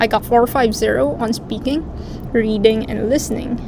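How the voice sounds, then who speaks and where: A woman with a non-native accent speaks at a fairly high pitch. There is noticeable background noise and audible room echo. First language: not English. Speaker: international medical graduate. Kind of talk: explainer video.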